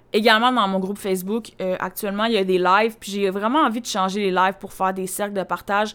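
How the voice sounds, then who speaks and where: At a very fast pace and with hardly any pauses, a woman of medium pitch speaks with fairly even intonation. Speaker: podcast host, personal development coach. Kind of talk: solo podcast monologue. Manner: casual, filler-heavy.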